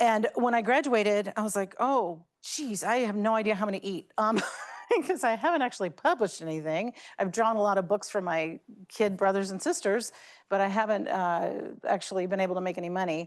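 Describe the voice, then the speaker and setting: A woman speaks with an American accent at a medium pitch. Her intonation is lively and her pace fairly quick. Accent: Southern Virginia accent, moderated. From US South, Lynchburg, Virginia. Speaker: energy industry leader, alumna speaker. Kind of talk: talk to students. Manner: casual, halting with fillers.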